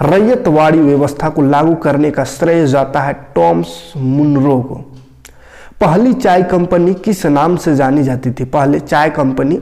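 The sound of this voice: A man's fairly high voice with a dark, mellow tone and vocal fry, at a fairly slow pace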